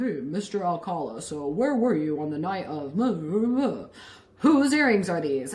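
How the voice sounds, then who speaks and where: A put-on character voice with audible echo. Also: female-sounding voice, medium pitch for a woman, moderate pace. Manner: demanding, accusatory.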